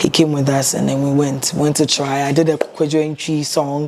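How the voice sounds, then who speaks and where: Over noticeable background noise, a woman speaks at a moderate pace in a very deep, low pitch with monotone, flat intonation. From Ghana. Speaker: singer. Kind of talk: interview.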